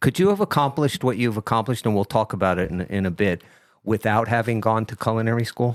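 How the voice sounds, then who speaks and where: A very fast voice with a New Jersey accent and ordinary pitch variation, dry and close with no echo, on a very clean recording against a silent background. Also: man, medium pitch for a man. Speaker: radio host. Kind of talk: interview.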